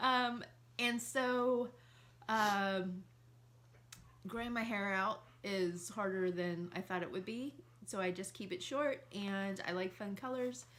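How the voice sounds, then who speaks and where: Speaking very slowly at a medium pitch, a woman leaves long, frequent pauses. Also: lively intonation. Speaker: married couple video host. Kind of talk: casual chat. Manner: loud.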